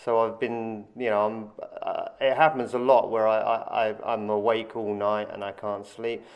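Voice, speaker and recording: Fairly slow, monotone speech with flat intonation, in an English accent. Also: man, medium pitch for a man. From England. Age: 40s. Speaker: skateboarder and former soldier. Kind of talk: interview. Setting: skatepark.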